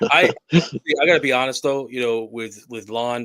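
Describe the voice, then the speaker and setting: This man has a New Jersey accent and a medium pitch. His tone is bright and sharp, with ordinary pitch variation. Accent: New Jersey accent, heard as Massachusetts. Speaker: paranormal show co-guest. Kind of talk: casual chat.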